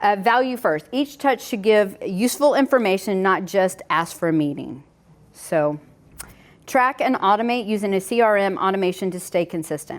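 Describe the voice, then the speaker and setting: A woman's voice with a slight Southern US accent, medium in pitch, at a moderate pace with lively intonation, on a very clean recording with a silent background. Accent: slight Southern twang. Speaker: home inspector running a realtor workshop. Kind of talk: workshop presentation. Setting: in-person workshop with audience. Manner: casual, conversational.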